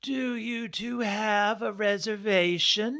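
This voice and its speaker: A put-on character voice, fairly high in pitch, at a very slow pace. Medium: read story. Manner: curt, disapproving.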